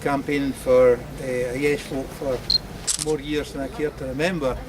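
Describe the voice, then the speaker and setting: A man with a Scottish accent speaks in a fairly high pitch at a fairly slow pace. Noticeable background noise runs underneath. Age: 60s. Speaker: political campaigner. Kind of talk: testimony. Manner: halting.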